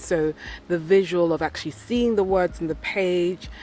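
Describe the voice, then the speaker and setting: This is a woman with an unremarkable speaking voice. Her pitch varies in an ordinary way. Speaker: self-development vlogger. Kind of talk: vlog.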